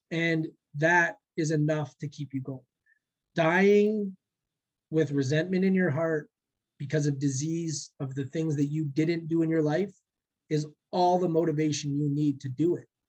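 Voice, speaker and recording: Pausing long and often, a man talks at a fairly slow pace. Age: 30s. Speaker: day trader and former bartender. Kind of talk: casual chat, motivational talk. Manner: animated, motivational.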